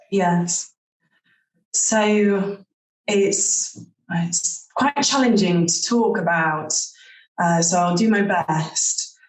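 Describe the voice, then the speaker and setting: A woman speaks at a very slow pace with long, frequent pauses. Her voice is somewhat breathy and very even in loudness. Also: medium pitch for a woman, ordinary pitch variation. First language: not English. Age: 30s. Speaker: psychic. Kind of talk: interview.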